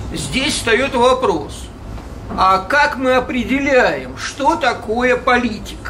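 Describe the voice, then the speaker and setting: A man's raised, projected voice at an extremely high pitch and a very slow pace, over light background noise. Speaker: audience member. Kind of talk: audience question. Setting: live audience, microphone. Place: hall.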